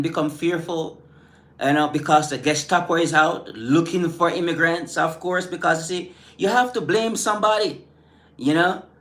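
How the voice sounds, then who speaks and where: Speaking at a fairly slow pace, a man with a Caribbean accent has a high pitch and an animated tone. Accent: Caribbean island. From Caribbean islands. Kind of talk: live stream rant responding to chat. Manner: halting, many fillers and repetitions.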